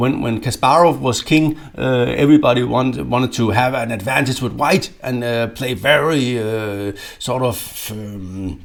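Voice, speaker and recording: A man at medium pitch talks at a fairly slow pace with hardly any pauses and ordinary pitch variation, over noticeable background noise. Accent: Danish. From Denmark. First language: Danish. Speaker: chess grandmaster and coach. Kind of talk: instructional video. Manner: halting, many fillers and repetitions.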